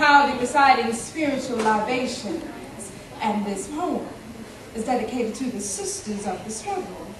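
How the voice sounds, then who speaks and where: There is noticeable background noise behind the speaker. A woman speaks at a high pitch and a moderate pace. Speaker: spoken word poet. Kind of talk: spoken word poetry performance.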